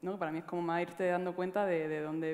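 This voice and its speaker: A woman with a fairly low pitch talks in a monotone, flat intonation. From Granada, Andalusia. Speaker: musician. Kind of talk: panel discussion. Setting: stage with audience. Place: stage. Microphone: headset.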